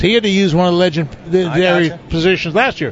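This is a man's voice. It sits high in pitch. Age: 70s. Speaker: veteran professional bass angler. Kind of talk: casual interview chat. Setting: live show at a fishing tournament event.

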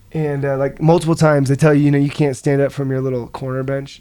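Amid noticeable background noise, a voice with an American accent talks at a fairly quick pace with fairly even intonation. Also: man. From US Midwest, rural Nebraska. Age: 20s. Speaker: mixed martial arts fighter. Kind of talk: casual chat.

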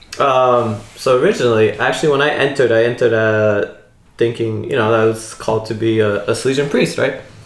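A man with a New Jersey accent speaks at a medium pitch. His intonation stays fairly even. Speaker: religious brother. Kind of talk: casual chat.

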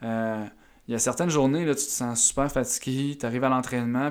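With a Quebec accent, a man speaks at medium pitch and a moderate pace, his intonation fairly even, on a very clean recording with a silent background. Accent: Québécois French. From Eastern Townships, Quebec (near Sherbrooke). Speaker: strength and movement coach, former baseball pitcher. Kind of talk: podcast interview. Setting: audio-only podcast, no video.

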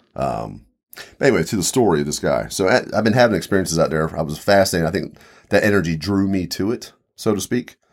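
A man with an American accent talks at a very fast pace in a very deep, low pitch with vocal fry and lively intonation. The recording is very clean with a silent background. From Mid-Atlantic US, Eastern Shore of Maryland/Virginia. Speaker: paranormal enthusiast, expedition companion. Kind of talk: casual chat.

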